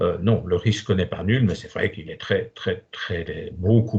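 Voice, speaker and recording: Somewhat breathy, a man talks at a fairly slow pace with ordinary pitch variation against a quiet background. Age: 70s. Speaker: doctor. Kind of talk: Q&A in online talk. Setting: online video conference. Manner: hesitant, many fillers.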